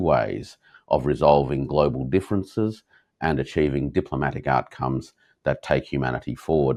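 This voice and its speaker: A man speaks with an Australian accent at a moderate pace over a quiet background. His intonation is lively, and there is vocal fry in his voice. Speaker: interview host. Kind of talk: interview. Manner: hesitant fillers.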